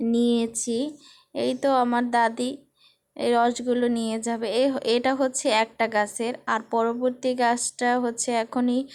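Flat, monotone intonation comes through on a very clean recording with a silent background. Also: woman, high pitch for a woman. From Barisal, Bangladesh. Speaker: vlogger. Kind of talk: casual vlog narration.

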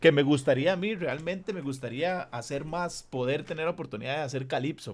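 Against a very clean, silent background, a man with a Costa Rican accent speaks at a fairly high pitch and moderate pace with lively intonation. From Costa Rica, San José (southern barrios). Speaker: reggae/urban musician and online talk show host. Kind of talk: casual video interview.

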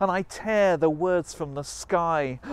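Recorded dry with no echo, this man's high-pitched voice moves with fairly even intonation. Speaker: spoken word poet. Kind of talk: performance poetry. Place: waterside. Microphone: lapel.

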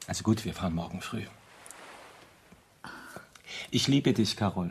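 A man's put-on character voice, low in pitch, with lively intonation, vocal fry and a husky, rough edge. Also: moderate pace.

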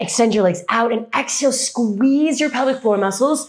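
In a quiet setting, a woman speaks at a moderate pace, her pitch varying in an ordinary way. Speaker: fitness instructor. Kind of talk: workout class cueing. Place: empty room.

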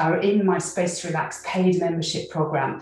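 Faint music plays in the background amid audible room echo. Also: woman. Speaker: qigong instructor. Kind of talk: tutorial. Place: home room.

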